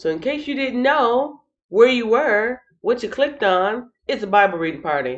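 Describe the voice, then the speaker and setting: Her pitch swings very widely. The woman speaks at a moderate pace. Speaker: channel host, Bible reading livestreamer. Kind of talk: casual livestream chat. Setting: live stream.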